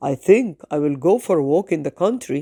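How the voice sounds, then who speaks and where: A woman's put-on character voice, fairly low in pitch, with very wide pitch swings. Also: dry, close sound with no echo. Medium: read story. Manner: loud hawker's call.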